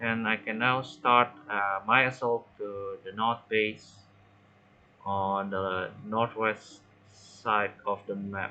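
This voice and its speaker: A man with a non-native accent speaks very slowly at a fairly low pitch, his intonation monotone and flat. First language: not English. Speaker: gaming tutorial creator. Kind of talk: gameplay tutorial commentary. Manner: halting, many fillers.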